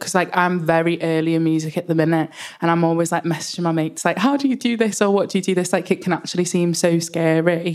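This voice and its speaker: A woman with a Liverpool accent talks at a very fast pace and a fairly low pitch. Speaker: panel moderator. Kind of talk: panel moderation.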